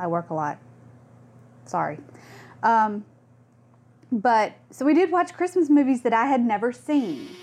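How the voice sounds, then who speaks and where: Speaking at a fairly slow pace with long, frequent pauses, a woman uses a fairly high pitch and very wide pitch swings. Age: 30s. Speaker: podcast co-host. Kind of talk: casual chat.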